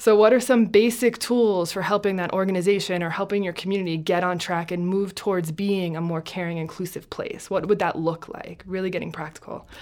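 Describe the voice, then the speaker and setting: A woman with an American accent talks at a fairly quick pace with hardly any pauses. Her medium pitch stays fairly even, over noticeable background noise. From New Jersey. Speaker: compassion training nonprofit founder. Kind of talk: interview. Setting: studio.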